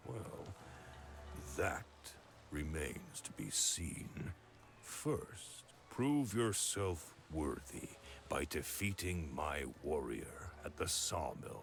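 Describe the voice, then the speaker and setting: A cartoonish character voice swings very widely in pitch at a very slow pace, with long, frequent pauses. Clear background noise is present. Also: man, very deep, low pitch for a man. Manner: severe with a tinge of mockery.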